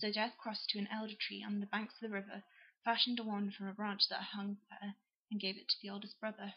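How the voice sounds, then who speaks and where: At a very fast pace, a woman with an English accent speaks in a medium pitch with monotone, flat intonation. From England. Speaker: YouTuber. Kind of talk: reading aloud; casual chat. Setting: at home on a sofa with laptop.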